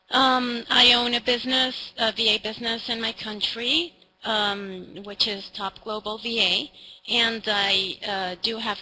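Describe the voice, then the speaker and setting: A woman talks at a very slow pace with ordinary pitch variation and big swings in loudness over noticeable background noise. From Venezuela. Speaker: virtual assistant business owner. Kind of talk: online conference presentation. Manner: hesitant, many fillers.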